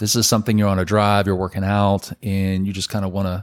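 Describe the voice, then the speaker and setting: Here is a man with a Southern US accent and a fairly low pitch. The recording is very clean, and the background is silent. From Birmingham, Alabama. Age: 40s. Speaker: pastor and podcast co-host. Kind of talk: casual chat. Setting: home living room.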